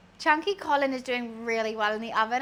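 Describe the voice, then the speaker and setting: A woman with a British accent speaks in a raised, projected voice. Her tone is bright and sharp, with ordinary pitch variation. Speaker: streamer. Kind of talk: casual live-stream chat while cooking.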